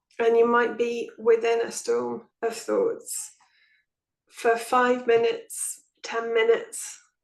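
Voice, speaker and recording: The speaker, with an English accent, talks at a very slow pace. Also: woman. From England. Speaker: nonduality teacher. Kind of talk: spiritual group talk.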